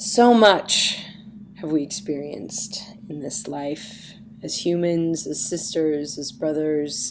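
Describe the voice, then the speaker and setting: A woman speaks with a very deep, low pitch and ordinary pitch variation. Audible room echo surrounds her voice. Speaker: astrology and tarot coach. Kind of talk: weekly forecast podcast.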